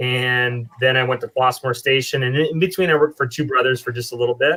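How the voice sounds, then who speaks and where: Here a man with an American accent talks at a fairly quick pace, medium in pitch with fairly even intonation. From US Midwest, eastern Iowa. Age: 40s. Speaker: brewer. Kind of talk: casual chat.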